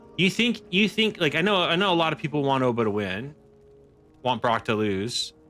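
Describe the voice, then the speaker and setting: An American accent, a relaxed tone and very wide pitch swings, with music in the background. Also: man. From Texas. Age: 40s. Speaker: gaming streamer. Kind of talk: casual live stream chat while gaming. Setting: home desk live stream. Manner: relaxed, chill; animated, excitable reactions.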